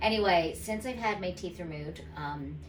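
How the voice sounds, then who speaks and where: A woman's voice comes through over noticeable background noise. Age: 50s. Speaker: dental patient. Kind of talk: patient testimonial. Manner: casual, hesitant.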